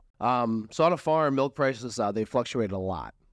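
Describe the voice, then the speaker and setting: With an American accent, a man speaks in an ordinary speaking voice at medium pitch, his intonation lively over a quiet background. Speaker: real estate agent and landlord. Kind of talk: casual interview chat.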